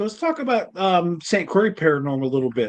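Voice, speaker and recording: Someone talks at a moderate pace in a plain, everyday voice. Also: man. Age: 50s. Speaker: podcast host. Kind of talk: casual interview chat.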